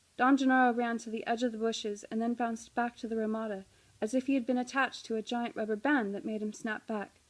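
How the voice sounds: Fairly level intonation in a natural reading voice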